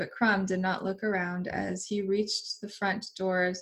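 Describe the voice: The voice is plain reading aloud. It reads the text straight through.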